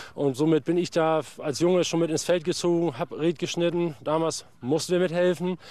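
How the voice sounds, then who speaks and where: Against a quiet background, a man uses a normal speaking voice, fairly high in pitch, with fairly even intonation. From northern Germany, Schleswig-Holstein. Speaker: reed farmer and lock keeper. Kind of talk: casual interview.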